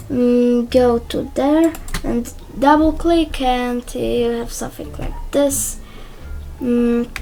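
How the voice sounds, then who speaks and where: A woman with a Polish accent talks at a very slow pace over noticeable background noise. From Poland. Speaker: YouTuber. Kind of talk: tutorial. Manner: hesitant, many fillers.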